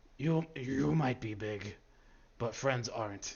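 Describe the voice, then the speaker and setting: A man puts on a character voice, keeping a medium pitch and a fairly slow pace. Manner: menacing, taunting.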